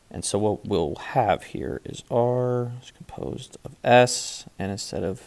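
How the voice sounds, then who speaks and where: A very slow pace over noticeable background noise. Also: man. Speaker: math teacher. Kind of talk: tutorial.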